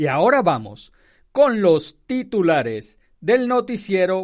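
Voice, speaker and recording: A man talks at a very slow pace with very wide pitch swings. The background is quiet. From Venezuela. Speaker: radio news journalist. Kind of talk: news reading; casual radio commentary.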